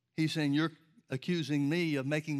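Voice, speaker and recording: A man with an American accent and an ordinary speaking voice talks at a fairly high pitch with fairly even intonation in a very clean recording with a silent background. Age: 60s. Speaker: preacher. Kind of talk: sermon. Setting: church.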